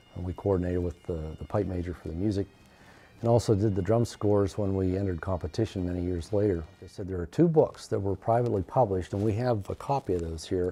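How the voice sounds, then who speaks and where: A very fast, somewhat breathy male voice with a very deep, low pitch and a dark, mellow tone. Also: ordinary pitch variation. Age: 60s. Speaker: former band drummer. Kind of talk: oral history interview. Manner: hesitant, many fillers.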